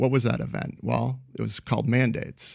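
On a very clean recording with a silent background, a man speaks rather quickly. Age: 50s. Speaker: author and financial analyst. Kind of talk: interview.

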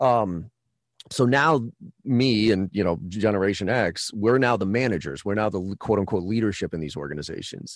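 Against a quiet background, the speech moves at a moderate pace with lively intonation. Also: man, fairly low pitch for a man. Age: 40s. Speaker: sales trainer and company CEO. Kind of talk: podcast interview. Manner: animated.

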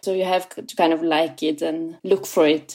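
A woman with a German accent speaks fairly slowly in a dark, mellow tone with fairly even intonation. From southwest Germany, near Freiburg. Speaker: playwright and theatre director. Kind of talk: interview.

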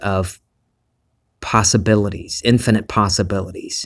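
On a very clean recording with a silent background, a man with a slight Southern US accent talks at a fairly slow pace in a relaxed tone, with a fairly low pitch and monotone, flat intonation. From US South. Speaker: podcast host. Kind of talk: spiritual monologue. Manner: relaxed, conversational.

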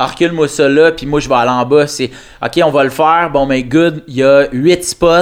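Speaking at a moderate pace, a man with an unremarkable speaking voice has a fairly high pitch and fairly even intonation. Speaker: comedian. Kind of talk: casual chat.

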